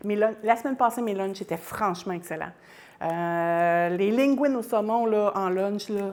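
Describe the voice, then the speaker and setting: In a Quebec accent, a woman talks at a fairly slow pace. Her medium-pitched voice shows ordinary pitch variation. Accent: Québécois French. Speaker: home cook livestreamer. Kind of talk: cooking livestream. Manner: animated.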